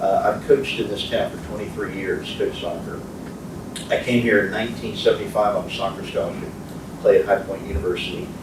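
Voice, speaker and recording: Speaking at a very fast pace with an American accent, a man swings widely in loudness over noticeable background noise and audible room echo. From military childhood, Philippines and US moves. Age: 60s. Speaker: community leader and soccer coach. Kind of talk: motivational talk. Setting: speaking to a men's group.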